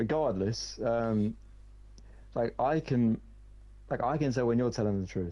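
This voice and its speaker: A man speaks at a medium pitch in a dark, mellow tone with ordinary pitch variation and very even loudness. His pace is fairly slow, with long, frequent pauses. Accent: British. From Britain. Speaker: gaming streamer. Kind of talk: casual chat.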